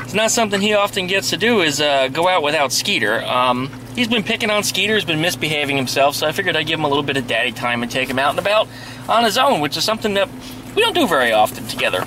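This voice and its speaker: A man races through his words very fast in a dry sound with no echo, with noticeable background noise behind him. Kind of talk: casual vlog chat. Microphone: phone near.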